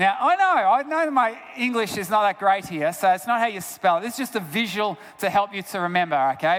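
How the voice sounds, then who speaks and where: Through noticeable background noise, a man with an Australian accent speaks in a high-pitched voice. His tone is animated and his intonation lively. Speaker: health researcher and guest speaker. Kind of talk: sermon-style talk.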